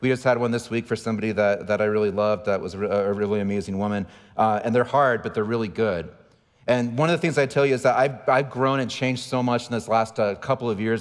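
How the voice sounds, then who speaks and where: Delivered at a very fast pace with an American accent, the speech shows ordinary pitch variation. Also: man. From San Diego, California. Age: 40s. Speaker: pastor. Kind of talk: sermon.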